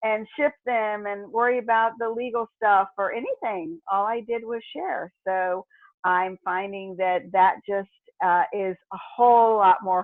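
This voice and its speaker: Speaking at a fairly slow pace, a woman has a medium pitch and ordinary pitch variation. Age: 60s. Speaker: network marketer. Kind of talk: interview. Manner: hesitant, many fillers.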